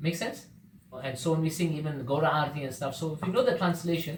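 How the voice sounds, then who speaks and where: A man with a fairly high pitch talks amid audible room echo. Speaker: devotional class speaker. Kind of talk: religious class talk. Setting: devotee's home gathering. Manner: fast.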